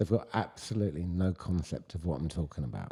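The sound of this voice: With a British accent, a man speaks at a very fast pace in a very deep, low pitch with ordinary variation, his tone dark and mellow and somewhat breathy.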